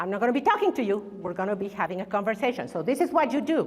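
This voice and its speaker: A woman with a Spanish accent, fairly high pitch and very wide pitch swings, amid audible room echo and noticeable background noise. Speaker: keynote speaker. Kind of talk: keynote speech. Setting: stage with audience.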